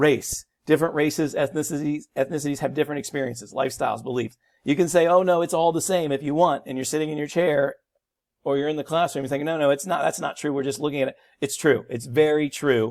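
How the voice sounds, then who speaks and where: On a very clean recording with a silent background, a man speaks very fast at a fairly high pitch with ordinary pitch variation. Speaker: high school teacher. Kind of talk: recorded lecture.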